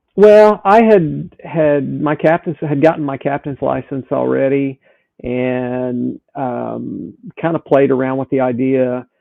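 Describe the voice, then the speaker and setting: The voice has a Southern US accent and a very slow pace. Its pitch varies in an ordinary way. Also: man, medium pitch for a man. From US South. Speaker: sailing instructor and boat captain. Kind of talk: podcast interview.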